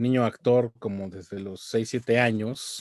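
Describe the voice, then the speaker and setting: A man speaks in a plain, everyday voice at a medium pitch with ordinary pitch variation. The sound is dry and close with no echo. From Mexico. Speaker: voice actor. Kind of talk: interview answer.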